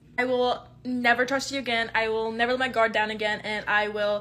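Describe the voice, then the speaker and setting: Her bright, sharp tone sits at a fairly high pitch for a woman. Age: 20s. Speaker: content creator. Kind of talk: casual chat. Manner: rambling, halting.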